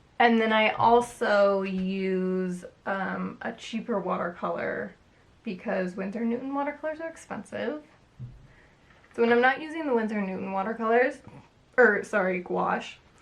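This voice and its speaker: A woman talks at a moderate pace and a fairly high pitch. Her pitch varies in an ordinary way, and noticeable noise sits behind her. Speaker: artist. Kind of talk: casual talk to camera about art supplies. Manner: casual, chatty.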